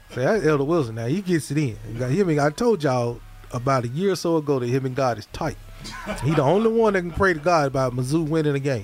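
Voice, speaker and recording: With music in the background, a man with an American accent talks very fast at a fairly high pitch with lively intonation. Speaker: gospel radio host. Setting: radio studio broadcast. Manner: animated, warm; rapid-fire, jovial.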